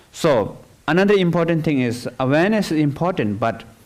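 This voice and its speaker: A high-pitched male voice at a moderate pace, with very wide pitch swings. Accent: non-native. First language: not English. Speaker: meditation teacher. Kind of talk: dharma talk. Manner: halting.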